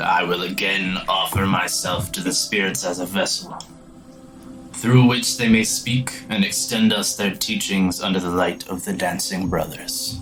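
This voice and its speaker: A put-on character voice speaks at a moderate pace, with clear music playing in the background. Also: man, fairly low pitch for a man. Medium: actual play.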